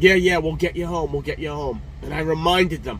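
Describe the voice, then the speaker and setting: A man talks at a fairly quick pace. Light noise can be heard in the background. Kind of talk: casual vlog chat. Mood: frustrated, emotional. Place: car. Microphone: phone near.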